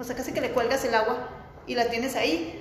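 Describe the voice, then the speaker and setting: A woman's fairly high voice at a moderate pace, fairly even in intonation, with noticeable background noise. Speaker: architect. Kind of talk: interview. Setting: in their office.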